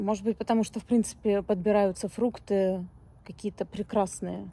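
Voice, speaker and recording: A woman speaks at a moderate pace in a dark, mellow, somewhat breathy tone. Her intonation stays monotone and flat, and the sound is dry with no echo. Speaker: vlogger. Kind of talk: casual vlog chat. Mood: relaxed, chatty. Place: street. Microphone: phone near.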